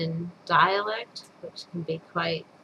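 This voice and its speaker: Noticeable background noise sits behind this recording. A woman with a fairly low pitch speaks at a very slow pace. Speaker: storyteller. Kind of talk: casual introduction to a reading.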